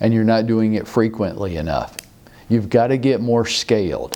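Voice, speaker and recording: Speaking at a moderate pace and medium pitch, a man is heard over noticeable background noise. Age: 60s. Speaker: real estate sales coach. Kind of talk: motivational talk. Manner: animated.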